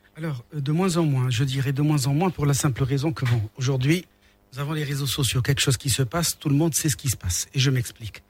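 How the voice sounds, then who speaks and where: Over a silent background in a very clean recording, a man speaks at a fairly quick pace. His voice is somewhat breathy and fairly high, with ordinary pitch variation. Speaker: panel guest. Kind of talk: radio discussion.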